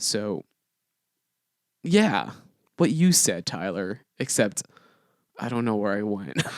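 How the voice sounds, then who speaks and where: Very slowly and with long, frequent pauses, a man talks at a fairly low pitch with very wide pitch swings. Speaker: podcast co-host. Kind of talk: casual chat. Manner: halting.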